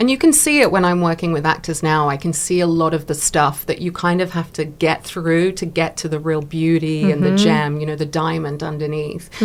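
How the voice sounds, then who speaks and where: A woman with a fairly low pitch talks at a fairly quick pace, using fairly even intonation and hardly any pauses. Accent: English. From England. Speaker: actor and producer. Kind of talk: interview answer.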